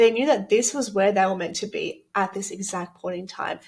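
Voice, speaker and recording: In a strong Australian accent, a woman talks at a medium pitch and a fairly quick pace, somewhat breathy, with ordinary pitch variation. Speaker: business coach and retreat organizer. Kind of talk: promotional presentation. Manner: animated.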